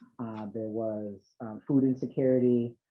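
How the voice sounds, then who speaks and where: Fairly even in intonation, a man with an American accent talks at medium pitch. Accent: Boston accent, slips out at times. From Boston. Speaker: nonprofit chief executive. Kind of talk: panel discussion. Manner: hesitant, many fillers.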